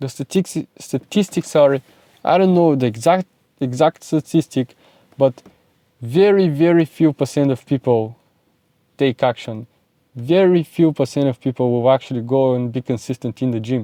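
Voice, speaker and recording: At a moderate pace with long, frequent pauses, a man with a Bulgarian accent speaks in a medium pitch and a dark, mellow tone, with ordinary pitch variation, in a dry, close sound with no echo. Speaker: self-improvement content creator. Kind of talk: motivational monologue to camera. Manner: animated.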